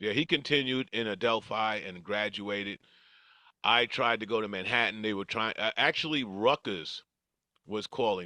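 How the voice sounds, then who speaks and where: In a New York accent, the voice has a bright, sharp tone, a moderate pace, ordinary pitch variation and big swings in loudness, with a dry, close sound, no echo and a quiet background. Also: man, fairly low pitch for a man. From New York, Queens. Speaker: retired correction officer and former track athlete. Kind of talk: interview storytelling.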